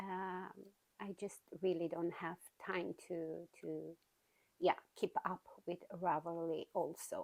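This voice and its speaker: Her pitch is medium for a woman, and she talks at a very slow pace with fairly even intonation. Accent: Romanian. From Romania. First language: Romanian. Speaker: knitting podcaster. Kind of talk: casual chat. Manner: hesitant, many fillers.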